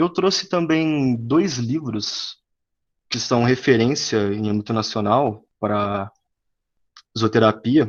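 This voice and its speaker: This man's delivery is very slow. Long pauses come often in his speech. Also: medium pitch for a man. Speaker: student presenter. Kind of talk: academic presentation. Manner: halting.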